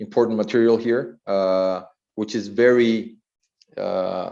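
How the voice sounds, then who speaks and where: A man with a Spanish accent speaks at a fairly low pitch in a dark, mellow tone. His intonation is fairly even, and the room echo is audible. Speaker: architect. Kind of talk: lecture. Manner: halting, many fillers and repetitions.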